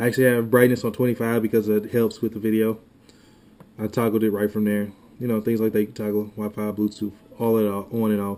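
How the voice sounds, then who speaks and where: A man talks at a very fast pace in a dark, mellow tone. His intonation is monotone and flat. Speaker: tech YouTuber. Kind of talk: tutorial. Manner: casual, halting.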